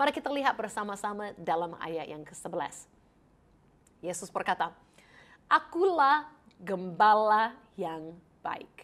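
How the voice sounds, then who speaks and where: A woman with an English accent speaks slowly-ish, at a fairly slow pace, with long, frequent pauses and a warm tone. Her medium pitch moves in very wide swings, and her loudness rises and falls in big swings. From Canada. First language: English (speaking Indonesian). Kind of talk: Bible teaching; program introduction. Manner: warm and friendly.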